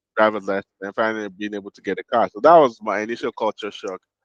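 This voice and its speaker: In a Nigerian accent, a man speaks at a very fast pace and medium pitch. The sound is dry and close with no echo, and the background is quiet. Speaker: podcast co-host. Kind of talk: casual chat.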